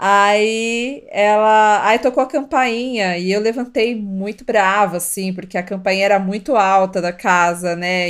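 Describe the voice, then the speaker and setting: A woman with a plain, everyday voice, medium in pitch, with ordinary pitch variation. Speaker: podcast co-host, mother. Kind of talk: casual chat.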